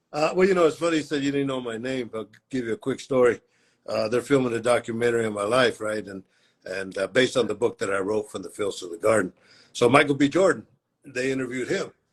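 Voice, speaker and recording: Against a quiet background, a man speaks at a very fast pace and medium pitch. His pitch varies in an ordinary way, while his loudness swings widely. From US, Central Valley of California (Mexican-American). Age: 70s. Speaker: boxing cutman. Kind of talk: interview. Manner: casual storytelling.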